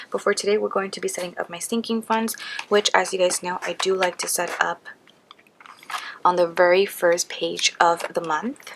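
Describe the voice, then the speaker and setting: Moderately paced female speech at a medium pitch, fairly even intonation, noticeable background noise. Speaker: budget planning vlogger. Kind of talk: tutorial. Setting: at home late at night. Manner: soft-spoken.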